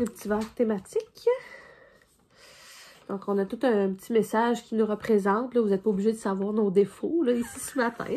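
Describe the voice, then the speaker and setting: A fairly high-pitched woman with a Quebec accent, with long, frequent pauses. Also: fairly even intonation, moderate pace. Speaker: podcast co-host. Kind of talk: casual chat. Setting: cabin indoors. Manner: relaxed.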